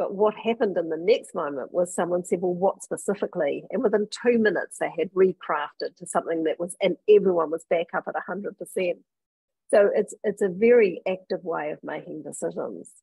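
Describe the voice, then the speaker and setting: A woman's normal speaking voice at medium pitch, with ordinary pitch variation and a fairly quick pace. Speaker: leadership consultant and author. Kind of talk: interview.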